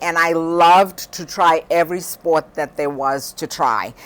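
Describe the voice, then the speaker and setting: A woman's very slow speech comes with noticeable background noise. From Zimbabwe. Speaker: high school teacher. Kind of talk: interview.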